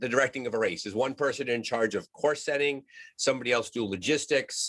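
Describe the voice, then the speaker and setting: At a fairly quick pace, a man with an American accent and a medium pitch speaks in a dry, close sound with no echo, in a very clean recording with a silent background. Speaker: podcast host. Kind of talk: podcast interview.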